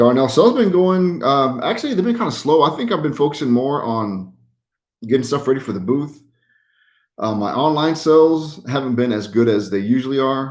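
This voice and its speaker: In a very clean recording with a silent background, a man with an American accent talks at a fairly high pitch with lively intonation. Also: fairly quick pace. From Utah. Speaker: YouTuber who trash picks and resells. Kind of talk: livestream chat answering viewers. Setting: live stream. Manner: casual, many fillers.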